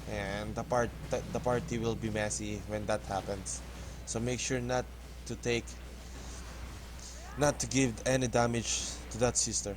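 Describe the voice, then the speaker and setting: This man talks at a moderate pace with a Filipino accent. Long pauses come often. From Philippines. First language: not English. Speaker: gaming YouTuber. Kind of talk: gameplay tutorial. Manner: halting.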